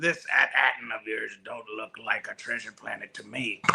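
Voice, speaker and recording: Putting on a character voice, a man delivers his lines at a moderate pace. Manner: pirate voice.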